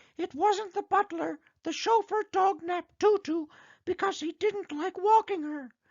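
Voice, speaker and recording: A squeaky put-on character voice at an extremely high pitch moves along at a moderate pace. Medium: read story. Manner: eager, upbeat.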